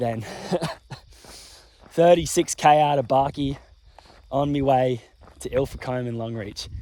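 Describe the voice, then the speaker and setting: Speaking fairly slowly, a man talks with an Australian accent. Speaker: ultramarathon runner, vlogger. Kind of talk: casual vlog commentary. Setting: outdoors at night on a roadside.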